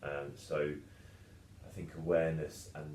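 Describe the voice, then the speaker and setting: A man's very deep, low voice with a dark, mellow tone, vocal fry and audible room echo. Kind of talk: casual podcast discussion. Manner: fast; talkative.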